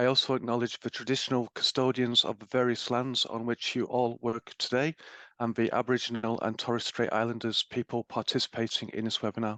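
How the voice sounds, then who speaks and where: Bright, sharp and flat in intonation, a man's voice with an English accent comes at a fairly quick pace in a dry, close sound with no echo. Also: medium pitch for a man. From England. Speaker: webinar host. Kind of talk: webinar introduction. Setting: webinar. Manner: formal.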